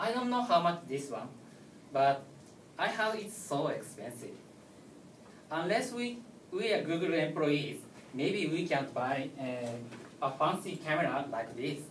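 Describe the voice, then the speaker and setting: A man with a Japanese accent and a fairly high pitch, at a fairly slow pace with very wide pitch swings and long, frequent pauses, amid audible room echo and noticeable background noise. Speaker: tech speaker. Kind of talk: lecture. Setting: stage with audience. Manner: halting.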